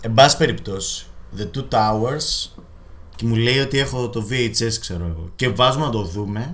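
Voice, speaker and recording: With lively intonation and a medium pitch, a man speaks at a fairly slow pace amid audible room echo. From Greece, Thessaloniki. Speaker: podcast co-host. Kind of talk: casual chat. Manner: hesitant fillers.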